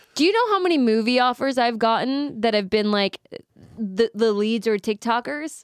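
The sound is dry and close, with no echo, and the loudness is very even. A woman speaks at a fairly high pitch and a moderate pace, with ordinary pitch variation. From Southern California, Apple Valley. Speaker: actress and podcast co-host. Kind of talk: casual chat.

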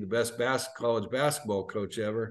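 With fairly even intonation, a man talks in an ordinary speaking voice.

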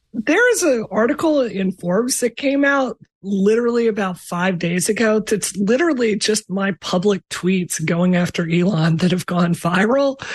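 A woman speaks with lively intonation and a somewhat breathy voice, her loudness very even. She keeps a moderate pace with hardly any pauses, in a dry, close sound with no echo. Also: medium pitch for a woman. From Mississippi. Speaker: game developer. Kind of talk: casual chat.

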